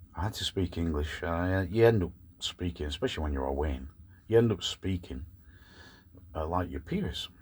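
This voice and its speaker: A man talks at a moderate pace in a very deep, low pitch with vocal fry and ordinary pitch variation. He leaves long, frequent pauses, and the recording is very clean with a silent background. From Scotland, Glasgow, then England from age four. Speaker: van life vlogger. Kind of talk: casual vlog monologue. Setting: in a van in the evening.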